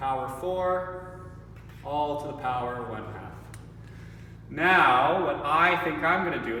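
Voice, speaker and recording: Audible room echo and noticeable background noise surround the voice. A man speaks at a fairly high pitch with ordinary variation. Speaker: math teacher. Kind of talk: tutorial.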